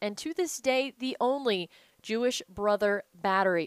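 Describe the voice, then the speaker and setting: A woman speaks in an ordinary speaking voice at a fairly high pitch, the sound dry and close with no echo. Her pace is fairly slow and her pitch variation ordinary. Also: very clean recording, silent background. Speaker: podcast host. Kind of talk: casual interview, podcast hosting.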